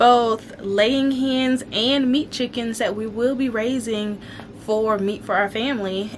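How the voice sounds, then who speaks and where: Background noise is noticeable throughout. The woman delivers her words fairly slowly. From Alabama. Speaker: homesteading vlogger. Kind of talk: casual vlog chat. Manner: conversational with frequent fillers.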